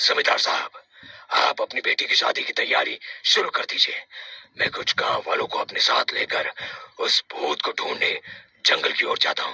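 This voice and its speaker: Delivered at a moderate pace, the voice is a cartoonish character voice. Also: man, extremely high pitch for a man. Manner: assured, authoritative.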